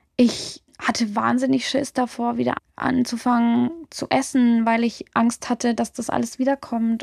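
The sound is dry and close, without any echo. A woman speaks at a fairly slow pace. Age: 20s. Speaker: music journalist and DJ. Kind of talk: interview, personal testimony. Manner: casual, colloquial.

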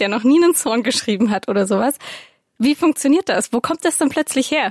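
A woman's high-pitched voice with a slight Swabian accent, fairly quick, with ordinary pitch variation and a dry, close sound without echo. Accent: little Swabian audible. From Swabia, Stuttgart. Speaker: podcast co-host. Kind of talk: casual chat.

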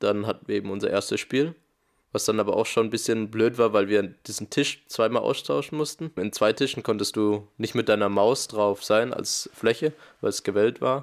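A man with an unremarkable speaking voice, moderate pace and ordinary pitch variation on a very clean recording with a silent background. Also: medium pitch for a man. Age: 20s. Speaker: esports player. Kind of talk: interview.

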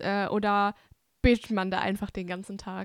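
On a very clean recording with a silent background and a dry, close sound with no echo, a woman speaks fairly slowly at a fairly high pitch. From Bavaria, Germany (Hungarian family). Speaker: podcast host. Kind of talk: casual interview.

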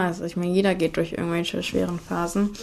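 A woman talks at a very fast pace and medium pitch in a monotone, flat intonation. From Cologne area, western Germany. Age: 20s. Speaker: student, amputee telling her story. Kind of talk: casual interview at home. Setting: at home in her kitchen.

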